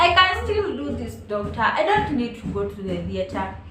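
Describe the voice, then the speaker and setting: Music plays in the background as a woman speaks. Room echo is audible. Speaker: vlogger. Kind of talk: personal storytelling. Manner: animated.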